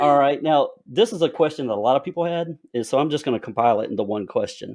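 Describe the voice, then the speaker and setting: A man talks fairly quickly with lively intonation and a strong Southern US accent. The background is quiet. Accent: heavy Southern twang. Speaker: podcast host and author. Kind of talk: casual interview.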